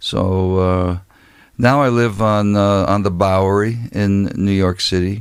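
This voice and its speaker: This man has a very deep, low pitch and an American accent. His intonation stays fairly even. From US Midwest, Ohio. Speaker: poet and professor. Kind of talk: casual interview chat. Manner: deliberately slow.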